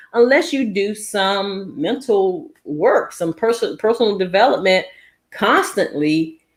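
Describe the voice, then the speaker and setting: Her pitch swings very widely as this woman talks at a fairly slow pace. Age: 60s. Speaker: YouTuber, mindset coach. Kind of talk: casual vlog talk to viewers. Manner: halting, many repetitions and fillers.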